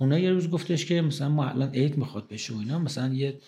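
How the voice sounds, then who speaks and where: A man's somewhat breathy, fairly high voice. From Iran. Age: 50s. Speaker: pharmacist and pharma distribution executive. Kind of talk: interview. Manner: casual, conversational.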